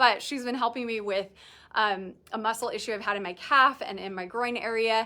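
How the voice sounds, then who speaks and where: The voice is bright and sharp in tone, moving at a fairly quick pace with ordinary pitch variation, captured in a very clean recording with a silent background. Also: woman. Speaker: boutique owner selling clothes on livestream. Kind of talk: live shopping stream, casual chat. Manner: fast; animated.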